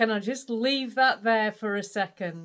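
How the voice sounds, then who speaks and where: A woman's fairly high voice with a Yorkshire accent, on a very clean recording with a silent background. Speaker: craft vlogger. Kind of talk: casual vlog chat.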